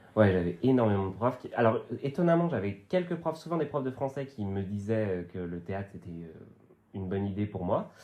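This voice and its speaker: A man talks at a fairly quick pace with a fairly low pitch. His pitch swings very widely and his loudness swings a lot. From western France, Vendée countryside. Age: 30s. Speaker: actor and comedian. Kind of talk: casual podcast interview. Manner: hesitant, many fillers.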